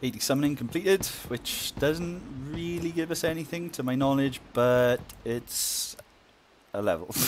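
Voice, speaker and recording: Lively intonation from a man with a fairly high pitch, at a moderate pace amid noticeable background noise. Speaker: gaming video creator. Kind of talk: gameplay commentary. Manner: casual, upbeat.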